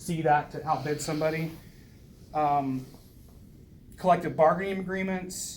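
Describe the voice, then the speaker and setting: The pace is moderate. Noticeable background noise sits behind the speech. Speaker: First Amendment auditor. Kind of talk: casual conversation with officials, partly reading policy aloud.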